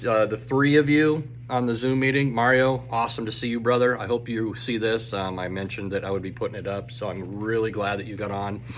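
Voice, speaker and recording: A man at a fairly quick pace with hardly any pauses, medium pitch and fairly even intonation, amid noticeable background noise and audible room echo. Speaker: teacher. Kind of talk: casual video update to students. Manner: fast.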